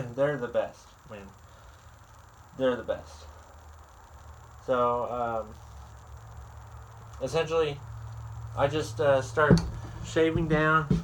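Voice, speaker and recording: A man speaks at a very slow pace with long, frequent pauses and big swings in loudness. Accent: Southern US. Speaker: woodworker. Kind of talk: tutorial. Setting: workshop. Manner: halting.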